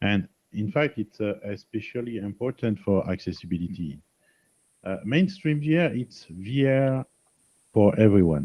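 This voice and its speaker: A man speaks at medium pitch. His pitch swings very widely. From France. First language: French. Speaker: software engineer and presenter. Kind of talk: presentation. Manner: hesitant, searching for words.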